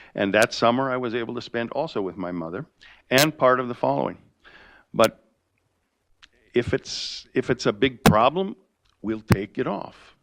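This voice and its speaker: Against a quiet background, in a dry, close sound with no echo, a man with vocal fry speaks in a medium pitch with lively intonation and long, frequent pauses. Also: moderate pace. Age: 70s. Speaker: property owner applicant at public hearing. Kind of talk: public hearing testimony. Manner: halting, with false starts.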